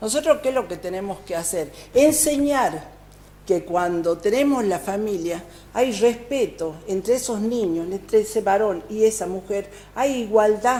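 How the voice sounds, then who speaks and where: With an ordinary speaking voice, a woman talks at a fairly high pitch and a fairly slow pace, using lively intonation. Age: 60s. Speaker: provincial legislator. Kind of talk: TV interview.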